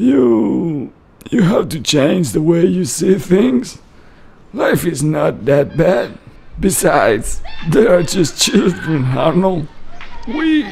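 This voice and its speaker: A man's cartoonish character voice, fairly high-pitched, at a very slow pace with long, frequent pauses and very wide pitch swings. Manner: soothing, patient, gently reasoning.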